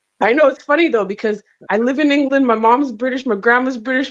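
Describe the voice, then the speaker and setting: Delivered at a very fast pace, the speech has a Jamaican accent and fairly even intonation. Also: woman. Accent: Jamaican twang. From Canada. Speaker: comedian. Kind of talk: casual chat. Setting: video call from a hotel.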